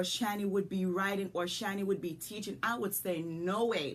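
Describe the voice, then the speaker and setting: Over noticeable background noise, a woman speaks with a Jamaican accent. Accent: Jamaican, lasting. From rural Jamaica. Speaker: business coach and podcast host. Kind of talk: motivational podcast talk. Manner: animated.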